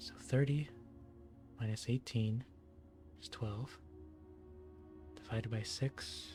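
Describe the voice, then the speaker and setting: Over background music, a soft-spoken man talks very slowly in a calm tone with ordinary pitch variation. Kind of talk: ASMR gaming longplay commentary. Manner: soft-spoken, calm.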